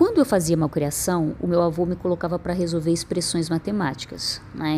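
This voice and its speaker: A woman's voice sits fairly low in pitch, somewhat breathy, with a dark, mellow tone. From Northeast Brazil (Piauí). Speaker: poet and performer. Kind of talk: personal storytelling monologue.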